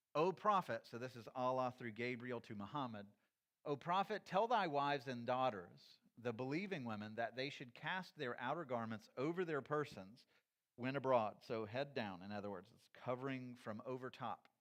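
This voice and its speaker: A man with an ordinary speaking voice of medium pitch talks with lively intonation. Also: moderate pace. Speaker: church teacher. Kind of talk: lecture.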